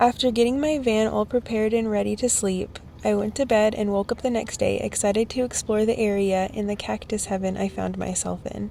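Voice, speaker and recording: A woman talking at a fairly quick pace with hardly any pauses, over noticeable background noise. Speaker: van life vlogger. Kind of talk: vlog narration and casual talk.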